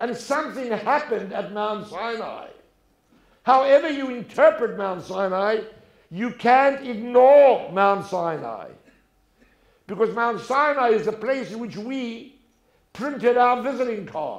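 Over a quiet background with audible room echo, a man with a South African accent and an extremely high pitch talks at a fairly slow pace, with ordinary pitch variation, long, frequent pauses, and big swings in loudness. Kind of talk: talk before an audience. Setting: stage with audience. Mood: warm, humorous storytelling. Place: stage. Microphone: lapel.

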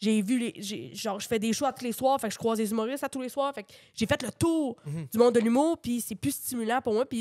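An unremarkable speaking voice from a woman, fairly high-pitched and fairly quick, with ordinary pitch variation, in a very clean recording with a silent background and a dry, close sound with no echo. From Quebec, Drummondville. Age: 20s. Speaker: comedian. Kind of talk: casual chat.

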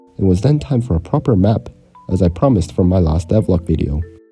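Music plays in the background as a man talks at a fairly quick pace with very wide pitch swings. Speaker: indie game developer. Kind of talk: devlog narration.

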